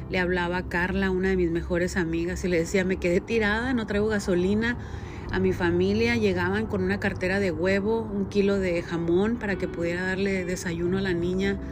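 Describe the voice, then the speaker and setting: Very even loudness at a fairly quick pace, with noticeable background noise and audible room echo. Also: woman. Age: 40s. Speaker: podcaster and direct-sales entrepreneur. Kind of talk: personal monologue. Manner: conversational.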